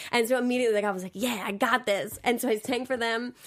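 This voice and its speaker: A woman speaks with an American accent and fairly even intonation. The recording is very clean, with a silent background. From US South, Georgia. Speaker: dancer and Broadway performer. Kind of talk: casual interview chat. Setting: recorded interview, pre-taped. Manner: fast talker.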